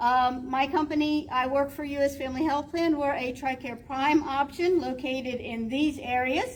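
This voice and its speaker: Speaking at a moderate pace with hardly any pauses, a woman keeps a high pitch and fairly even intonation. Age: 60s. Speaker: health plan representative and veteran. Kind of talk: presentation to employers. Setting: event room with audience, speaking without mic. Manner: casual, hesitant with fillers.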